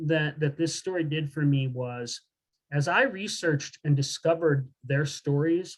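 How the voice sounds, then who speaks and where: A fairly high-pitched man with a Midwestern accent at a fairly slow pace, with ordinary pitch variation. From rural Southern Illinois, US Midwest. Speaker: professor, author. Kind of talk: talk to audience, Q&A.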